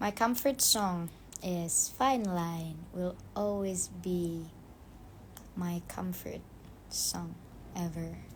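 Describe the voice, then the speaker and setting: Speaking at a very slow pace with long, frequent pauses, a woman has a fairly low, somewhat breathy voice. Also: ordinary pitch variation. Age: 20s. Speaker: actress. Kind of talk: casual chat. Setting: Instagram live stream.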